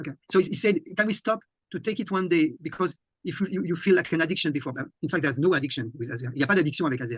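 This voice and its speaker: The speaker is a man with a French accent and a fairly high pitch. He talks at a very fast pace. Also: lively intonation. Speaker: conference host and interpreter. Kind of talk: interpreted online presentation. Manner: halting, repeats words.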